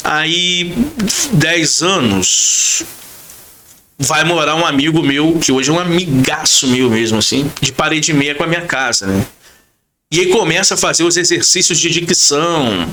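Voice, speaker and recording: With an animated tone and a fairly high pitch, a man speaks at a fairly slow pace with long, frequent pauses, very even loudness, ordinary pitch variation and audible room echo. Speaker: radio announcer. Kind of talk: podcast interview. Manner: casual, animated storytelling.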